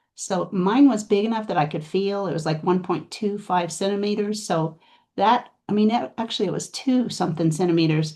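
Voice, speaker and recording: A woman speaks at a fairly quick pace and medium pitch, with ordinary pitch variation. Her tone is dark and mellow, and the background is quiet. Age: 60s. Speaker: cancer survivor and patient advocate. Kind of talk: interview. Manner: halting.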